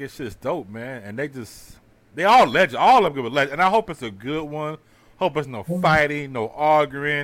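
This man has an unremarkable speaking voice, fairly high in pitch, with lively intonation and big swings in loudness. He talks at a fairly quick pace on a very clean recording with a silent background. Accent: American. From Houston, Texas. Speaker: podcast host. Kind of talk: casual chat.

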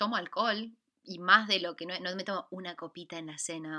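The tone is bright and sharp, with an Argentine accent. Pitch varies in an ordinary way. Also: woman. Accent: Argentine Spanish (Rioplatense). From Argentina. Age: 20s. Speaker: podcast co-host. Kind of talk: casual chat.

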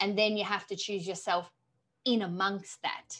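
Against a quiet background, a woman with a bright, sharp tone speaks at medium pitch and a moderate pace. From Australia. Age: 30s. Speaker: author and coach. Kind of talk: interview.

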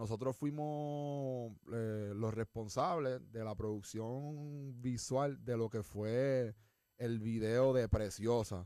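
With a dark, mellow tone and ordinary pitch variation, a man speaks very slowly at a medium pitch. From Puerto Rico. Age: 20s. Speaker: podcast host. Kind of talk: casual chat. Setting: studio. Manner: animated.

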